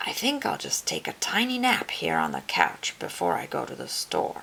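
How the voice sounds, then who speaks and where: A woman whispers in a croaky, put-on character voice at a moderate pace. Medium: read story.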